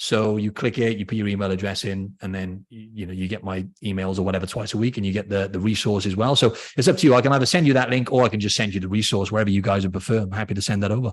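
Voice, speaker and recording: Against a quiet background, the voice rushes along at a very fast pace with hardly any pauses and fairly even intonation. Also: man, fairly low pitch for a man. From Wales, Cardiff. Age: 30s. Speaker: fitness trainer. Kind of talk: podcast interview.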